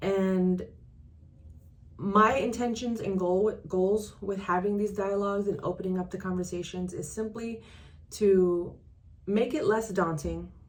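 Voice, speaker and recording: A woman's medium-pitched voice, fairly slow and fairly even in intonation, with audible room echo. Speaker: transaction coordinator and business coach. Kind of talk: casual vlog talk to camera. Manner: halting, self-correcting.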